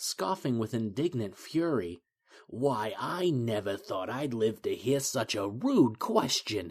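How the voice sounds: The clip features a natural reading voice against a quiet background.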